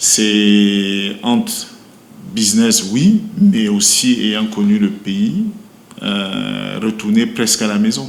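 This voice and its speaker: A man with a Cameroonian accent speaks very slowly amid audible room echo. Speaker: brewery company manager. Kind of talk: interview. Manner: hesitant, many fillers.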